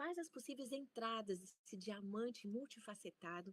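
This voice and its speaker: A woman with a fairly high, somewhat breathy voice speaks at a moderate pace with very wide pitch swings, in a dry, close sound with no echo. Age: 60s. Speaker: professor. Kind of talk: lecture.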